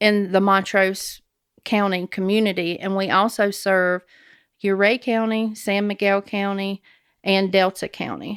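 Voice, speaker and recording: A woman with a Southern US accent at a medium pitch, fairly slow and monotone with flat intonation, in a very clean recording with a silent background and a dry, close sound with no echo. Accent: Southern US (Georgia). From Georgia, US South. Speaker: nonprofit director and army veteran. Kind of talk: interview. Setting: studio.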